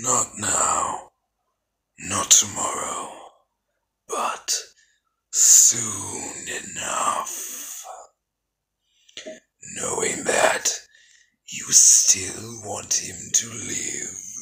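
A man's raspy put-on character voice, very slow, with long, frequent pauses. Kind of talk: film character voice impression. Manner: cold, solemn, detached.

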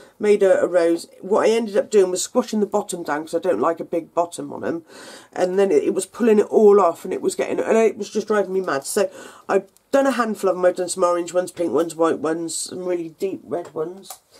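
A woman at a fairly quick pace with ordinary pitch variation, against a quiet background. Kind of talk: tutorial.

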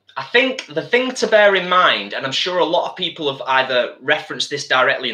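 In an English accent, a man speaks fairly quickly at a high pitch, with very wide pitch swings. His tone is bright and sharp, and the background is quiet. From UK. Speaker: vegan cooking channel host. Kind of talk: live-stream cooking chat. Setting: home kitchen. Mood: warm, chatty. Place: kitchen. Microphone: webcam.

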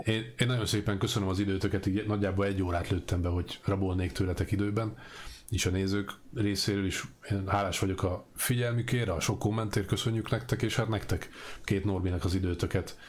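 A man talks at a fairly quick pace in a fairly low, somewhat breathy voice. His loudness is very even and his intonation fairly even. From Hungary. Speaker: interviewer. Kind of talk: interview. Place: home room.

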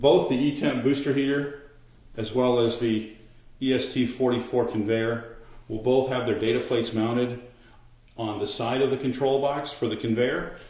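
Over audible room echo, a man talks fairly slowly with monotone, flat intonation. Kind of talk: tutorial. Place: kitchen.

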